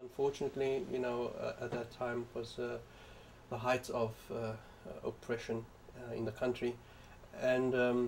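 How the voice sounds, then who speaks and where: The man's voice is somewhat breathy, and his intonation stays fairly even while his pace remains moderate. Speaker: professor of information science, librarian and activist. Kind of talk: interview answer. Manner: soft-spoken.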